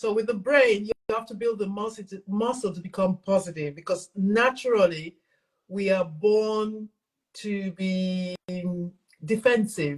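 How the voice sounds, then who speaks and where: A woman speaks at a fairly slow pace in a somewhat breathy, medium-pitched voice with ordinary pitch variation and big swings in loudness. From England and Nigeria. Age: 60s. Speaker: self-love and mental fitness coach. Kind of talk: interview conversation.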